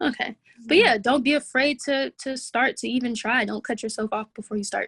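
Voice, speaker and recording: Soft-spoken and fairly quick, a woman with an American accent talks at a high pitch with ordinary pitch variation, in a dry, close sound with no echo. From Atlanta, Georgia, USA. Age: 20s. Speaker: rapper. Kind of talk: interview answer. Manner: soft-spoken, articulate.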